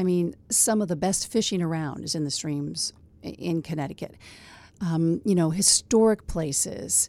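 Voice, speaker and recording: With an American accent, a woman speaks in a fairly low pitch and a dark, mellow tone on a very clean recording with a silent background. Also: ordinary pitch variation, moderate pace. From US Midwest, South Bend, Indiana. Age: 60s. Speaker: veteran TV news anchor. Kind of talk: casual interview chat. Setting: radio studio.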